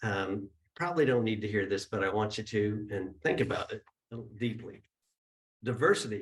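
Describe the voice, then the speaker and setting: A man with a fairly low pitch speaks at a moderate pace, his voice somewhat breathy. He takes long, frequent pauses, with ordinary pitch variation. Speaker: spiritual center leader opening the service. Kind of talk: service announcements and opening remarks. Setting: gathering with live audience and Zoom viewers.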